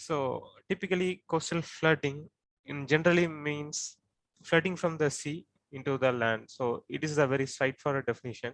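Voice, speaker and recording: The sound is dry and close with no echo, and a man speaks in an Indian accent. His pitch is fairly high, his pace moderate, with ordinary pitch variation. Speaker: coastal flooding researcher. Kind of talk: expert explanation.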